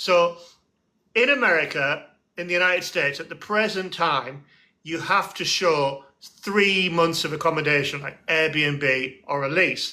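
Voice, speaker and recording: Fairly slow and high-pitched, a man with an English accent speaks in a bright, sharp tone with ordinary pitch variation. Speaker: barrister, host. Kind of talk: casual expert discussion.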